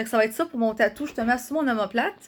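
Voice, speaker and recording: Here a woman talks at a fairly quick pace in a Quebec accent. Her fairly high pitch shows ordinary variation. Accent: Québécois French. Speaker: vlogger. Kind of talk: casual vlog talk. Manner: fast.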